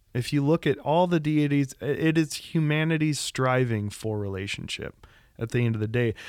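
A man's plain, everyday voice, fairly high-pitched, at a moderate pace with ordinary pitch variation. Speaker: pastor. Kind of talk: casual discussion.

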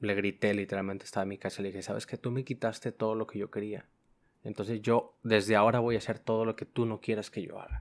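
Talking at a very fast pace, a man uses a fairly low pitch and monotone, flat intonation. The recording is very clean, with a silent background. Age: 20s. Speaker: logistics worker. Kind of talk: testimony.

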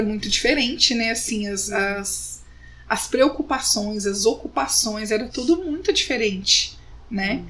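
Fairly high, lively female speech at a fairly slow pace, with audible room echo and noticeable background noise. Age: 30s. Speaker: podcast host. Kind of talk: casual chat.

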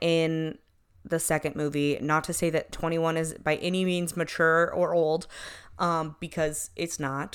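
Recorded very cleanly against a silent background, a woman speaks fairly slowly at a fairly low pitch in an unremarkable speaking voice. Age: 20s. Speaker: podcast co-host. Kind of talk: casual chat.

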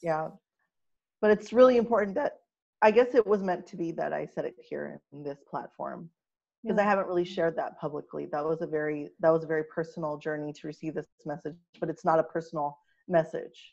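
A woman with an American accent talks at a very fast pace in a fairly low pitch, with ordinary pitch variation and big swings in loudness. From Los Angeles, Filipino heritage. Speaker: spiritual healer. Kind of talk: casual interview.

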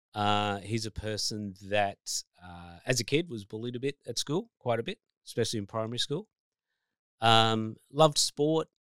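Lively intonation in an Australian accent at a moderate pace, with a dry, close sound with no echo and a very clean recording with a silent background. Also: man. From New South Wales, Australia. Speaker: life coach and author. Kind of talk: casual chat.

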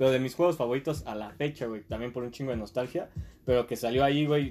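At a very fast pace, a man talks at medium pitch. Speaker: podcast guest. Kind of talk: casual chat.

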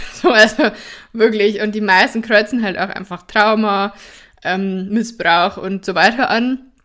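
In a very clean recording with a silent background, a woman with an unremarkable speaking voice talks at a fairly slow pace, her medium pitch carried by fairly even intonation. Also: big swings in loudness. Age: 20s. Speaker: somatic therapist and podcast host. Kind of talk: personal storytelling monologue. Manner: casual, with frequent fillers and laughter.

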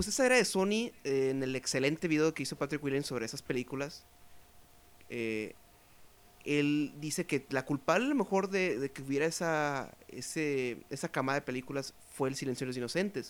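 A man with a Mexican accent and ordinary pitch variation, on a very clean recording with a silent background. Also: fairly high pitch for a man, moderate pace. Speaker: podcast host. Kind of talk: casual chat.

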